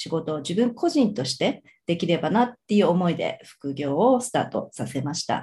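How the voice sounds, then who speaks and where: Somewhat breathy, a woman speaks with a fairly low pitch and a dark, mellow tone. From Tokyo (Suginami), Japan. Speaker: financial services employee, former hotel VIP concierge. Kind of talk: interview conversation.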